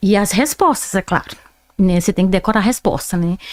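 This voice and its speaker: A woman with a strong Brazilian accent talks at a fairly quick pace. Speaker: interview guest. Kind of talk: podcast interview. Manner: animated.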